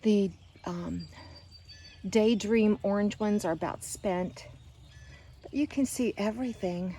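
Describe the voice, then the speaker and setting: Pausing long and often, a woman speaks at a fairly slow pace with a medium pitch, ordinary pitch variation and big swings in loudness. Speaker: gardening vlogger. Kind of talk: casual garden walkthrough vlog. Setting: outdoors in garden by a river. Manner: animated.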